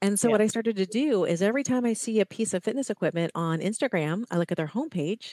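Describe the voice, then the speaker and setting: Talking at a very fast pace with an American accent, a woman shows ordinary pitch variation in a dry, close sound with no echo. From US Midwest (Ohio). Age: 50s. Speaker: fitness and wellness coach. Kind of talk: interview.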